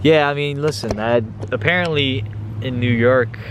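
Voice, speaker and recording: A man speaks. Noticeable background noise runs beneath him. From Hungary (Budapest). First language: Hungarian. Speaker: vlogger. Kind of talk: casual chat. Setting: outdoors.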